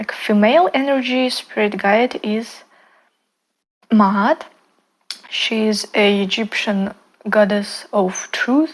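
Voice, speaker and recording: Pausing long and often, a woman speaks very slowly at a fairly high pitch with fairly even intonation. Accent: non-native. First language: not English. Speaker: spiritual content creator. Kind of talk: casual talk to camera. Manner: halting, many fillers and restarts.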